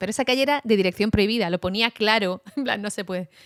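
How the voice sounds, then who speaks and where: A woman talks very fast in an animated tone at a medium pitch, with a dry, close sound with no echo on a very clean recording against a silent background. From Basque Country, Spain. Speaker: journalist. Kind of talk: casual chat.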